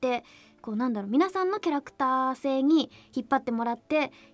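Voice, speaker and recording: A woman talks at a very fast pace in a high pitch with ordinary pitch variation, with music in the background. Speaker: voice actress playing the princess in the anime, radio guest. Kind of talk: radio guest talk about her role, casual conversation. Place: studio.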